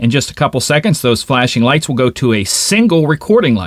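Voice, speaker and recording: Very fast and enthusiastic, a man speaks at a medium pitch with lively intonation. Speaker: tech reviewer and content creator. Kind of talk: tutorial. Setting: home studio. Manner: casual, enthusiastic. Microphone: overhead studio mic, then wireless mic tests.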